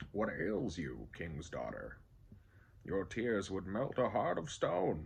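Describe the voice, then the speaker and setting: Fairly slow delivery from a man in a put-on character voice, his pitch fairly low. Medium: read story. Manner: earnest, pleading.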